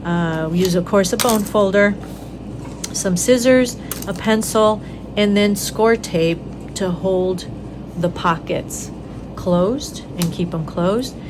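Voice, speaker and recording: Long, frequent pauses break up a woman's very slow speech. Room echo is audible and background noise is noticeable. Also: medium pitch for a woman, ordinary pitch variation. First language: Spanish. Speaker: craft tutorial host. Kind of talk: tutorial. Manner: casual, with many fillers.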